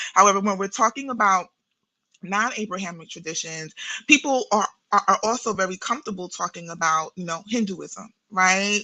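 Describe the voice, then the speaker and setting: In a New York accent, a woman speaks with a bright, sharp tone. The sound is dry and close with no echo, over a quiet background. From New York City (Brooklyn, Queens); born in Guyana. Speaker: therapist and spiritual practitioner. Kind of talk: podcast interview. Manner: halting, with many repetitions and fillers.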